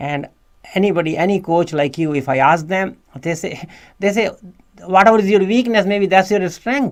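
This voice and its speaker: This man talks at a fairly quick pace with an Indian accent. His voice is high-pitched with ordinary pitch variation. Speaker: podcast host. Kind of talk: interview. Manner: halting, repeats words.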